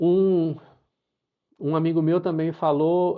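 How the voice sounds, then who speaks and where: A man is speaking. He talks at a very slow pace. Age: 60s. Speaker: pilgrim sharing travel experience. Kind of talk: live talk to online audience. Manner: halting, many repetitions and fillers.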